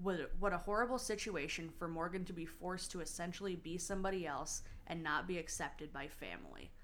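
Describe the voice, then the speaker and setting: A woman with a normal speaking voice, fairly low pitch, ordinary pitch variation, a fairly quick pace and hardly any pauses. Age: 30s. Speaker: podcast co-host. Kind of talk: casual chat.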